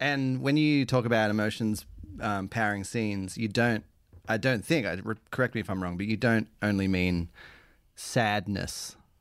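On a very clean recording with a silent background, a man with an Australian accent speaks at a moderate pace, fairly low in pitch with ordinary pitch variation. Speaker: improv comedy host. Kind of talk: casual interview chat. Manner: informal, hesitant with fillers.

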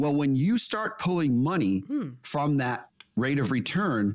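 With lively intonation and an ordinary speaking voice, a man speaks at a moderate pace. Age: 50s. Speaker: financial advisor, radio co-host. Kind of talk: casual radio chat about finance.

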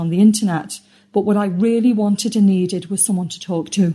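A woman with a British accent, very fast pace, medium pitch, ordinary pitch variation, and a dark, mellow, somewhat breathy tone. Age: 50s. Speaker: member testimonial. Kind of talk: testimony. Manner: scripted, read-aloud delivery.

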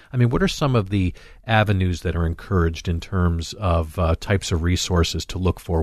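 Somewhat breathy and very deep in pitch, a man with an American accent speaks fairly quickly with fairly even intonation, in a dry, close sound with no echo against a quiet background. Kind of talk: radio talk show chat.

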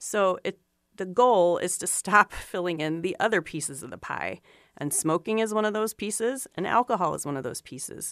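Speaking in a normal speaking voice, a woman uses lively intonation at a medium pitch and a moderate pace. Her loudness swings widely on a very clean recording with a silent background. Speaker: cancer registry director, epidemiologist. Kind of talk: expert panel discussion on radio. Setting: studio.

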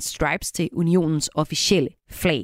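The recording is very clean, and the background is silent. In it, a woman talks. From rural Denmark. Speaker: radio host. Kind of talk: radio interview and music show hosting.

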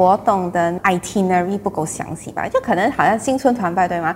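A woman with an ordinary speaking voice and ordinary pitch variation. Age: 30s. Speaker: clan association committee member. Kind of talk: interview.

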